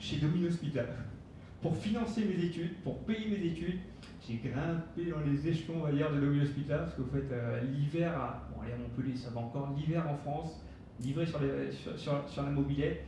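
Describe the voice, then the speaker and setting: This man's pitch is fairly high, with ordinary variation. He talks at a moderate pace, and room echo can be heard. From Mauritius. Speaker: business speaker. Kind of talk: conference talk. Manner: casual, hesitant with many fillers.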